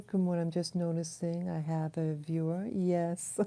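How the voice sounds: A soft-spoken woman talks at a moderate pace in a dark, mellow tone. Her pitch is fairly low and moves very little.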